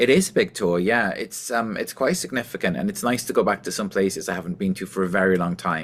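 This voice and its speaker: A man speaks at a very fast pace with hardly any pauses, his fairly low pitch showing ordinary variation on a very clean recording with a silent background. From Wales. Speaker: singer and musician. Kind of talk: interview. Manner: clear; animated.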